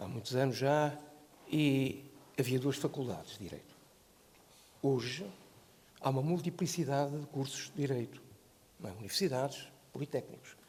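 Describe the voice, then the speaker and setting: A man's fairly high, somewhat breathy voice at a moderate pace, with ordinary pitch variation and long, frequent pauses. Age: 70s. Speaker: law professor and lawyer. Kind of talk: panel debate. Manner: halting, with repeated words.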